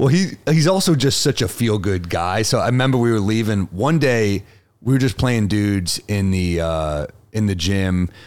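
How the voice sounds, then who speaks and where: A man with a New York accent speaks at a moderate pace and a fairly low pitch, with lively intonation and very even loudness. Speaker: comedian. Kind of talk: casual chat.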